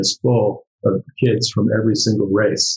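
A man with an American accent speaks in a somewhat breathy, medium-pitched voice with ordinary pitch variation. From US, New York. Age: 60s. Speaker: artist. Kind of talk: casual panel discussion. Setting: video call.

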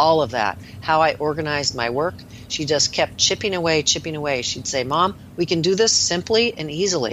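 Over noticeable background noise, a woman talks at a fairly quick pace. Her pitch is very deep and low, and her intonation is lively. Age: 60s. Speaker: nurse practitioner. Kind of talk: interview. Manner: animated.

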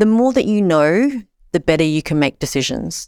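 A woman's fairly low voice with an Australian accent and very wide pitch swings, on a very clean recording with a silent background. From Australia, Sydney. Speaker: social enterprise founder. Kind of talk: interview.

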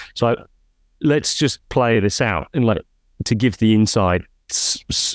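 A normal speaking voice carries lively intonation. The recording is very clean, dry, and close, with a silent background and no echo. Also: man. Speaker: podcast host. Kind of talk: interview conversation.

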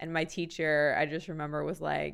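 On a very clean recording with a silent background, a woman's voice is heard. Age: 30s. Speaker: makeup artist and designer. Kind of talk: casual chat.

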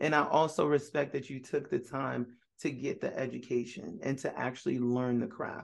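With an American accent and vocal fry, a man keeps a moderate pace with hardly any pauses. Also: medium pitch for a man, ordinary pitch variation. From New York (Brooklyn). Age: 40s. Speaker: podcast host, screenwriter and producer. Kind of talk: interview conversation. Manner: animated, casual.

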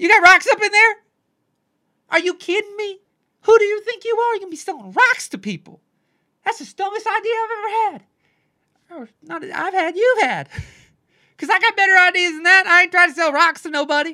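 A woman puts on a squeaky character voice at an extremely high pitch, with big swings in loudness. She moves at a fairly quick pace but takes long, frequent pauses. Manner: scolding, incredulous, mocking.

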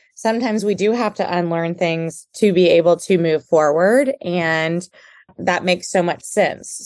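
A woman speaks at a moderate pace in an American accent. She has an unremarkable speaking voice, fairly low in pitch with ordinary pitch variation, over a quiet background. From Houston, Texas. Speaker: podcast host and social worker. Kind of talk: interview.

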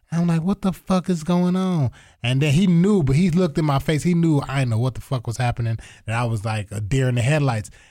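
Lively intonation and a somewhat breathy quality come through as a man with a fairly high pitch talks at a fairly quick pace in a very clean recording with a silent background. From Toledo, Ohio. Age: 30s. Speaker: comedian. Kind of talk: casual chat.

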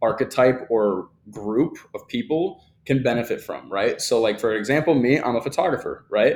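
At a moderate pace, a man talks with a fairly high pitch in a plain, everyday voice. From US Midwest (Kalamazoo, Michigan). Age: 20s. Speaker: content creator. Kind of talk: casual chat.

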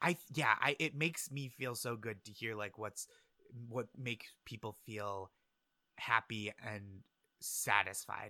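Medium-pitched male speech with a bright, sharp tone, fairly slow with long, frequent pauses and ordinary pitch variation, in a dry, close sound with no echo. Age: 30s. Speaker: comedian. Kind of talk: casual chat.

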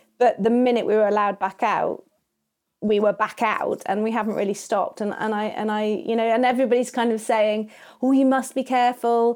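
Fairly high in pitch, a woman speaks at a fairly quick pace with fairly even intonation. The recording is very clean with a silent background. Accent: southern English. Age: 40s. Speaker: wedding and boudoir photographer. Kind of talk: interview conversation.

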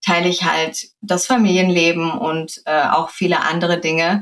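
A woman's ordinary speaking voice, fairly low in pitch, at a fairly slow pace. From Germany, Sauerland. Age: 30s. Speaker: influencer. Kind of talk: interview.

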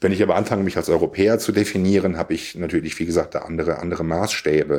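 This man has a very deep, low pitch and a dark, mellow tone. He talks at a fairly quick pace with fairly even intonation. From Siegerland, western Germany. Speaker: podcast guest. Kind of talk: casual philosophical conversation.

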